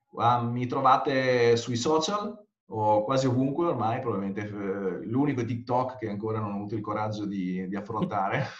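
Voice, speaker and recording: Audible room echo carries a man's medium-pitched voice. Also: ordinary pitch variation, moderate pace. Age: 40s. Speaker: conversion rate optimization consultant. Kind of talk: interview.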